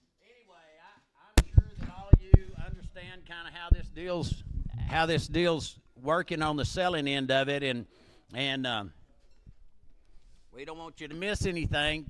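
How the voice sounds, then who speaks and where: A loud man with an American accent and a fairly high pitch at a moderate pace, long, frequent pauses and ordinary pitch variation, amid noticeable background noise. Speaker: livestock auctioneer. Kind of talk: auction announcements. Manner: casual, halting with repetitions.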